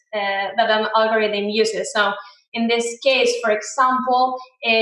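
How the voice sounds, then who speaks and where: A woman's high voice with a Spanish accent, at a moderate pace and with fairly even intonation, plus audible room echo. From Spain, Murcia. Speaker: software engineer, conference speaker. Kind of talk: conference talk. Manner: hesitant, many fillers.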